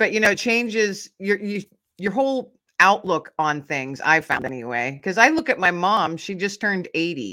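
Her medium-pitched voice bright and sharp, a woman speaks at a moderate pace with very wide pitch swings. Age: 50s. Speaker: podcaster and author. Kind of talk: casual chat.

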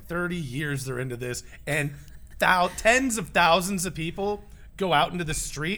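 A fairly slow, bright, sharp voice with vocal fry and lively intonation. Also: man. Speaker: podcast co-host. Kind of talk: casual chat. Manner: animated.

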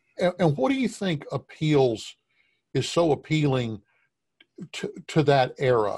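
A man speaks with ordinary pitch variation and a somewhat breathy quality. The recording is very clean, with a silent background. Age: 50s. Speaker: podcast host and portrait painter. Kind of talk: interview conversation.

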